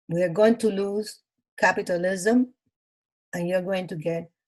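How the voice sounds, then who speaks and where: A woman speaks with a Cuban accent at a medium pitch. Her voice is somewhat breathy. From Cuba (Matanzas). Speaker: Cuban immigrant sharing life story. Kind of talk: interview. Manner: animated.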